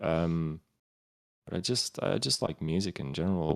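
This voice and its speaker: Very deep and low, a man's voice moves at a fairly quick pace with fairly even intonation. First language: Romanian. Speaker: streamer and musician. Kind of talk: podcast interview. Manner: halting, many fillers.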